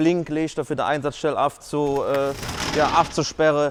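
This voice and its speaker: A man with a Cologne accent talks at a fairly slow pace in a monotone, flat intonation. Noticeable background noise is present. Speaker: firefighter. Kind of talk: casual explainer to camera. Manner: jokey, casual.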